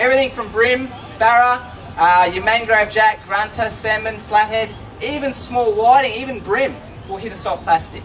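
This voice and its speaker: Speaking loud in an Australian accent, a man talks at a moderate pace and a high pitch with fairly even intonation. Noticeable background noise and audible room echo surround his voice. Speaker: fishing presenter. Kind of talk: live demonstration to audience. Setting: stage with audience at trade show.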